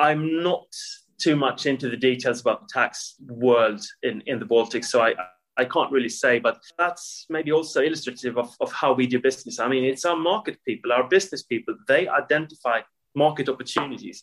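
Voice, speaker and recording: A man's fairly high voice with a Swedish accent, ordinary pitch variation and a fairly quick pace. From Sweden. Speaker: corporate tax executive. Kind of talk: interview.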